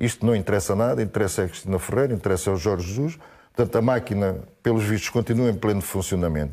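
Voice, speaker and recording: A very fast-talking man with a dark, mellow tone, fairly low pitch and ordinary pitch variation, in a very clean recording against a silent background. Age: 60s. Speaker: football pundit. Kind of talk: heated debate. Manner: animated.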